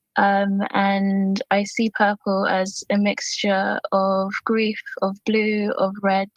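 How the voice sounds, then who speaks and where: A woman speaks at a medium pitch in a somewhat breathy voice. Her intonation is monotone and flat. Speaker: poet. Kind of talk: personal introduction; poetry reading. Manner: shaky voice.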